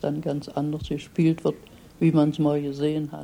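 The voice has a dark, mellow tone and a monotone, flat intonation. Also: woman. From Germany. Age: 80s+. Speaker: retired immigrant. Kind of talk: interview.

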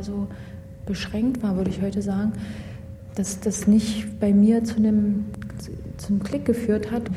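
The intonation is monotone and flat. Audible room echo and noticeable background noise surround the voice. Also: woman. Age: 20s. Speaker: former judge. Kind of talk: interview. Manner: halting.

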